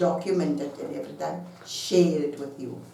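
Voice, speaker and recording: A woman talks at a fairly slow pace, her voice carrying audible room echo over noticeable background noise. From South Africa. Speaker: online business vlogger. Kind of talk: casual talk to camera. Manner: halting.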